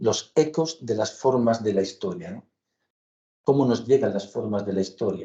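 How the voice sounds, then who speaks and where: The man's dark, mellow voice is somewhat breathy and moves with lively intonation. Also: medium pitch for a man. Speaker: architecture professor. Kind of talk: academic lecture. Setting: lecture hall with audience. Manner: slow, deliberate; hesitant, many fillers.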